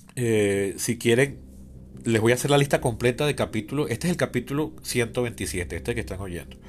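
At a moderate pace, a man with a medium pitch talks with lively intonation and vocal fry. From Venezuela, Caracas. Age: 40s. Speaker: podcast host, political scientist. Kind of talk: solo podcast monologue, political commentary.

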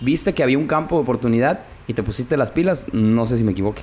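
The man's intonation is lively. He delivers his words very fast. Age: 30s. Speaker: podcast host. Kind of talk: casual chat.

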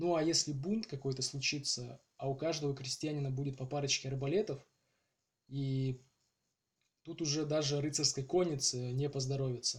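A man speaks at a moderate pace in a fairly high, somewhat breathy voice. His intonation is fairly even, with long, frequent pauses. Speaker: podcast host. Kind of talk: scripted narration. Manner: halting.

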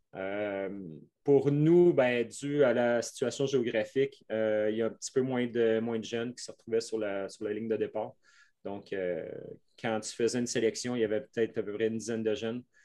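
Speaking in a Quebec accent, a man uses a dark, mellow, medium-pitched voice at a moderate pace with fairly even intonation. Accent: Québécois French. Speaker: mountain bike coach. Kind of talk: interview. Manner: halting.

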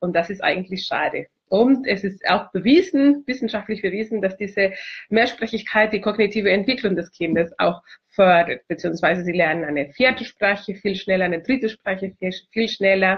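Somewhat breathy and in a Spanish accent, a woman speaks at a moderate pace with ordinary pitch variation. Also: medium pitch for a woman. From Chile. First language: Spanish (speaking German). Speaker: multilingualism consultant. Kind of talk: video self-introduction. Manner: hesitant, many fillers.

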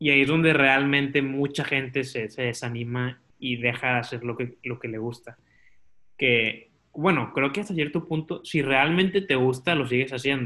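A man with a plain, everyday voice talks at a moderate pace. His pitch is medium, with ordinary pitch variation. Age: 20s. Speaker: podcaster and marketing student. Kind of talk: casual chat.

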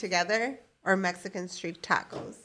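On a very clean recording with a silent background, a woman of medium pitch speaks fairly slowly in a plain, everyday voice with fairly even intonation. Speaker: quiz question reader, game show host. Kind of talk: game show host reading quiz questions aloud. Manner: crisp, deadpan, brisk verdicts like 'Correct' and 'Wrong'.

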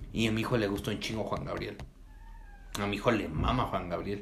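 A man speaks at a fairly low pitch with vocal fry. Audible room echo surrounds the voice. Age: 20s. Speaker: podcast host. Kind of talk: casual chat.

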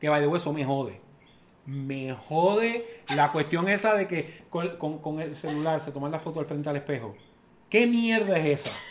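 Talking at a moderate pace, this man has an unremarkable speaking voice, fairly high in pitch with ordinary variation. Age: 50s. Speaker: father of the host. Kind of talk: casual chat.

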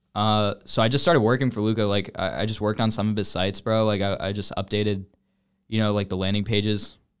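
A man with an American accent talks at a fairly quick pace in an unremarkable speaking voice, his pitch fairly low. His intonation is fairly even, and the recording is very clean with a silent background. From US South, Georgia (north Atlanta). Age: 20s. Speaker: e-commerce entrepreneur. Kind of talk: casual chat.

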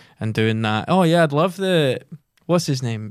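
A man with a Glaswegian accent is heard on a very clean recording with a silent background. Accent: Glaswegian Scottish. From Scotland, Giffnock near Glasgow. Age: 20s. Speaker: comedian and actor. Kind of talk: casual interview chat. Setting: podcast studio.

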